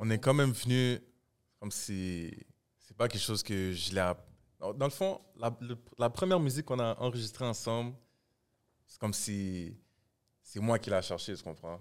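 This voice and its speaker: At a moderate pace, a man with a medium pitch speaks with lively intonation, big swings in loudness, and long, frequent pauses. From Montreal, Quebec. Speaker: rapper. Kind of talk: casual chat.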